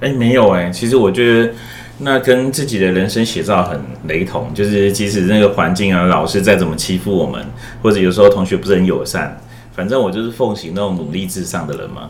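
A man talks at a fairly quick pace with a fairly low pitch and lively intonation. Audible room echo and noticeable background noise come through. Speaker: school guidance counselor. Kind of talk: casual chat.

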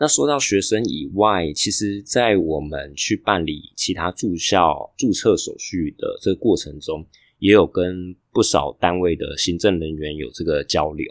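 A man with a Taiwanese accent speaks at a fairly slow pace, his very deep, low pitch carrying lively intonation. The recording is very clean, with a silent background. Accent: Taiwanese Mandarin. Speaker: podcaster and international student. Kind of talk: casual vlog narration. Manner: hesitant with fillers.

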